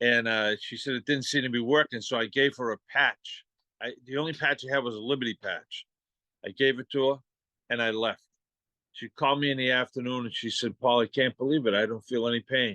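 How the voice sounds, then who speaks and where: A man with a Boston accent speaks fairly quickly at a medium pitch, his tone bright and sharp. His intonation stays fairly even, and the sound is dry and close with no echo. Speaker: patch distributor sharing testimony. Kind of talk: testimony. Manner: halting, many fillers.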